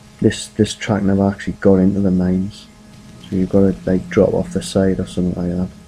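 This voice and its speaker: Against noticeable background noise, a man with a very deep, low pitch speaks at a fairly quick pace with fairly even intonation. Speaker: gaming video creator. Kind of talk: game walkthrough commentary. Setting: home at night. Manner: quiet, keeping voice down; casual, hesitant with fillers.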